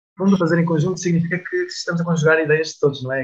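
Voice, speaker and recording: The man's intonation stays fairly even. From Portugal, Aveiro. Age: 20s. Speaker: musician in a band. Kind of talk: radio interview. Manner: halting, frequent repetitions.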